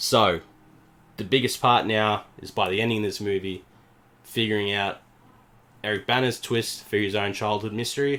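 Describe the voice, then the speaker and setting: In an Australian accent, a man speaks at a moderate pace with long, frequent pauses, a bright, sharp tone and fairly even intonation. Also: fairly low pitch for a man. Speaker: podcast co-host, movie reviewer. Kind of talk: casual chat, movie review.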